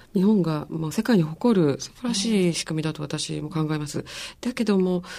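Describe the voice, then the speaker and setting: A woman's fairly low voice carries a dark, mellow tone and ordinary pitch variation. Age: 40s. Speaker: magazine deputy editor. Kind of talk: radio panel discussion.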